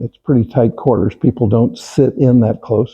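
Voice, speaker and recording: Here a man speaks at a fairly slow pace. His medium-pitched voice is somewhat breathy. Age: 80s+. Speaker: church member and local author. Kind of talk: talk at a society meeting.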